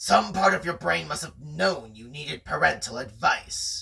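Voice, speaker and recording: In a put-on character voice, a man growls at a fairly high pitch and a moderate pace. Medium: read story. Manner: steely determination.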